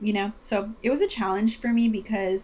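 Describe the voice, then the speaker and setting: A woman speaks at a moderate pace. Her voice is fairly high and somewhat breathy. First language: Spanish. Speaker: podcast co-host. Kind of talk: casual chat.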